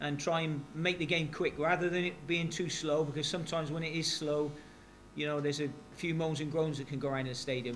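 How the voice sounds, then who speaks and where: A man with a West Country accent, talking at a very fast pace, fairly high-pitched, in a monotone with flat intonation, amid audible room echo. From West Country, England. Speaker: football manager. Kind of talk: press conference. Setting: press conference at stadium.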